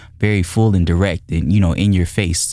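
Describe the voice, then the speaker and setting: A man with a very deep, low pitch talks at a fairly quick pace with fairly even intonation, and the recording is very clean with a silent background. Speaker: music studio owner and gear reviewer. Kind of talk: product review. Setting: recording studio. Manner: casual, filler-heavy. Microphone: dynamic studio mic, boosted about 60 dB.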